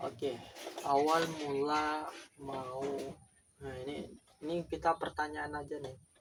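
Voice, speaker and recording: A man speaks at a fairly slow pace with a fairly high pitch. His intonation is monotone and flat, with long, frequent pauses. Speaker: beginner YouTuber. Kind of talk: casual vlog monologue.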